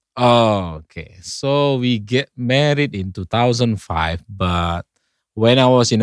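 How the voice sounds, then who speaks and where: A man at medium pitch speaks with an Indonesian accent and lively intonation. The recording is very clean, with a silent background. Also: dry, close sound with no echo. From North Sumatra, Indonesia. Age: 40s. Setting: studio. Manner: somewhat halting, careful with English.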